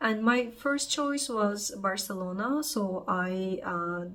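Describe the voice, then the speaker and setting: A woman with a fairly high pitch and lively intonation speaks at a very slow pace. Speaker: vlogger, unemployed tech project manager. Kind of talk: personal vlog monologue. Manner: casual, hesitant with fillers.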